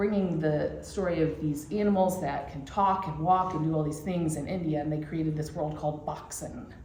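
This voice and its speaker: Heard through noticeable background noise and audible room echo, the speaker has a Michigan accent, a moderate pace, fairly even intonation and hardly any pauses. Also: woman, very deep, low pitch for a woman. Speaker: church class teacher. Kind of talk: lecture. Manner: casual, many fillers.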